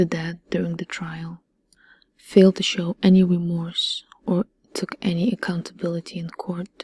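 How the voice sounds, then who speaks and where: Soft-spoken and somewhat breathy, a woman delivers her lines in a fairly low, dark, mellow voice with monotone, flat intonation and a dry, close sound with no echo. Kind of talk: crime documentary narration.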